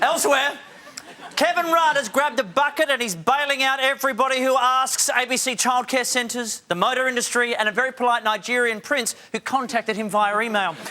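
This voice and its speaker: A man speaks in a raised, projected voice at a fairly quick pace, extremely high in pitch with ordinary pitch variation. Noticeable background noise is present. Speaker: talk show host. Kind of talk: stand-up style TV monologue. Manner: jokey, conversational.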